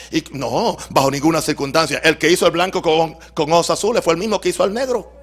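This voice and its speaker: Over noticeable background noise, a man talks at a fairly quick pace in a high pitch, with very even loudness and ordinary pitch variation. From Puerto Rico. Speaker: pastor. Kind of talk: sermon. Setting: church.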